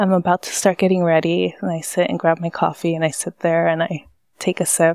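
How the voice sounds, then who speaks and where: Speaking at a fairly quick pace, a woman with a fairly low pitch keeps a monotone, flat intonation in a dry, close sound with no echo on a very clean recording with a silent background. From Los Angeles, California. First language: Spanish. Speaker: coffee company founder. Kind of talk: interview, conversational storytelling.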